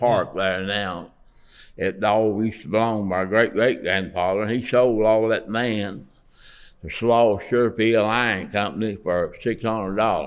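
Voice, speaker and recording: A man speaks with a Southern US accent at a fairly slow pace. His pitch is fairly low and his intonation fairly even. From Alabama. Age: 80s+. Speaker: artist; Navy veteran. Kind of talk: interview answer.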